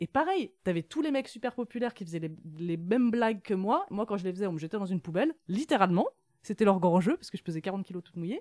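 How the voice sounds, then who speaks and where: A woman's medium-pitched voice at a very fast pace, with lively intonation and big swings in loudness, in a dry, close sound with no echo on a very clean recording with a silent background. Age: 30s. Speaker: author. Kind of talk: interview.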